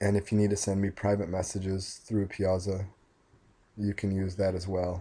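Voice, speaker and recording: Before a quiet background, a man speaks at a moderate pace in a fairly low, monotone and flat voice. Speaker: math teacher. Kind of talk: lecture.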